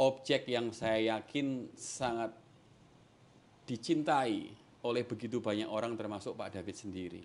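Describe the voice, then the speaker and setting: Medium pitch for a man, ordinary pitch variation, and a fairly slow pace. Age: 40s. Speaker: interviewer. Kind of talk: interview. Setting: guest's home. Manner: animated.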